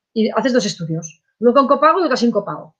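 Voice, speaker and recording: A woman with a high voice talks very fast. Her pitch leaps very widely up and down. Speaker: insurance course instructor. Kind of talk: online lecture. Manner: hesitant fillers.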